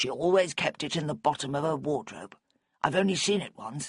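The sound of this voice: A man's put-on character voice, raspy, gravelly and husky, fairly high in pitch, at a fairly quick pace with ordinary pitch variation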